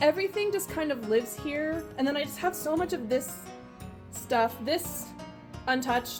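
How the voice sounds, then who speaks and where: Over music in the background, a woman talks at a fairly quick pace with very wide pitch swings. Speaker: YouTube home cooking and DIY creator. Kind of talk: casual talk to camera. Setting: home kitchen.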